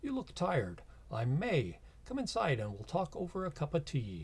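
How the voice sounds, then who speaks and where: Putting on a character voice with a slight Irish accent as part of the act, a man speaks at a fairly high pitch with very wide pitch swings and a moderate pace. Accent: slight Irish lilt. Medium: actual play. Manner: warm, welcoming.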